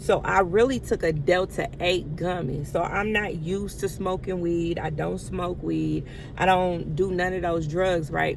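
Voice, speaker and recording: Audible room echo surrounds a woman speaking in an animated tone, fairly low in pitch, at a fairly slow pace with hardly any pauses. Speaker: vlogger, stay-at-home mom. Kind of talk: casual storytelling to camera. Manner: halting at times, speech difficulty from medication.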